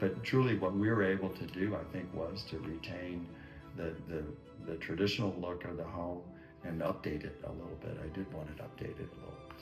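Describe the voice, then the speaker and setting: Music plays in the background as a man talks at a fairly quick pace. His voice is very deep and low, with ordinary pitch variation. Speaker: retired homeowner. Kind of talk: customer testimonial interview. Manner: casual, hesitant, repeats words.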